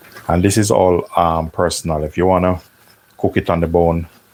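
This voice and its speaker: A man talks in a very deep, low voice with monotone, flat intonation. Noticeable background noise runs underneath. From Jamaica. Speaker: chef and cooking channel host. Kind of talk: live cooking tutorial. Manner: casual, chatty.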